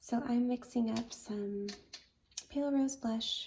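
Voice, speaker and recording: Soft-spoken and somewhat breathy, a woman talks at a very slow pace with ordinary pitch variation. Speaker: watercolor artist. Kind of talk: tutorial.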